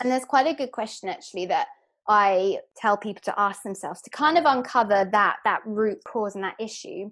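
Over a very clean recording with a silent background, a woman with a London accent speaks at a moderate pace and fairly high pitch with ordinary pitch variation. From London, England. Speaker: hypnotherapist and life coach. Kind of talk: podcast interview.

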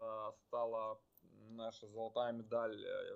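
His voice sits at a medium pitch for a man. The intonation is fairly even throughout. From Ukraine, Kyiv (childhood partly in Western Siberia). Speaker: business analyst and rowing champion. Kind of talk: interview. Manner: hesitant, with many fillers.

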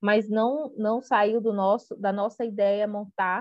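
A woman with a fairly high pitch speaks at a fairly slow pace in an ordinary speaking voice. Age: 40s. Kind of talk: interview. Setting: remote call.

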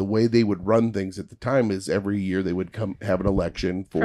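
The man talks with fairly even intonation. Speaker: podcast guest, comedian. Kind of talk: casual conversational.

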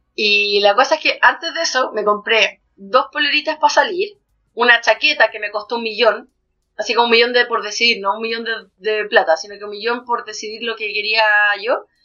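At a fairly quick pace, a woman with a Chilean accent speaks in a fairly high voice with ordinary pitch variation and big swings in loudness. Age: 30s. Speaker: podcast co-host. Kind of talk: casual chat.

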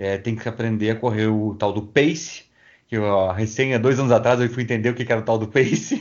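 A man talks in a plain, everyday voice at a moderate pace. His pitch is medium, with ordinary pitch variation. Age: 40s. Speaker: podcast host. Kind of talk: interview.

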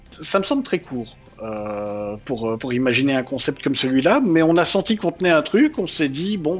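Lively intonation and hardly any pauses against noticeable background noise. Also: man. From Belgium. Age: 30s. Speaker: anonymous web comic writer. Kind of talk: interview.

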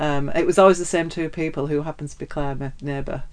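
The voice belongs to a woman. Her speech carries a northern English accent. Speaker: podcast co-host. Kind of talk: casual interview chat.

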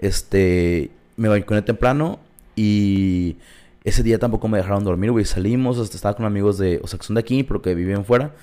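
Fairly low in pitch, this man has a dark, mellow tone. He talks at a fairly quick pace with ordinary pitch variation. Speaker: podcast co-host. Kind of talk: casual chat.

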